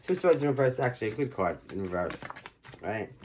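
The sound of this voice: A man with a fairly low pitch and a slightly mellow tone talks at a fast pace, making big pitch swings.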